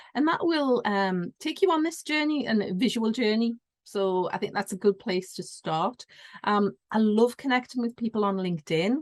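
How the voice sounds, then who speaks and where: A woman with a northeast English accent, fairly high in pitch, lively in intonation, at a moderate pace in a dry, close sound with no echo. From northeast England. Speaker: business consultant. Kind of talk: interview.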